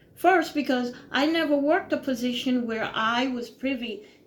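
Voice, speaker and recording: There is audible room echo around this woman's voice. She speaks at a high pitch with lively intonation. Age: 60s. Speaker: retired YouTuber. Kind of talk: opinion monologue. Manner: informal, conversational with frequent fillers.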